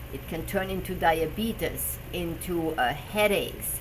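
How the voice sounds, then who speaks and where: A woman talks fairly slowly, her voice carrying audible room echo amid noticeable background noise. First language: German. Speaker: personal trainer and health show host. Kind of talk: live stream talk. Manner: halting, with fillers.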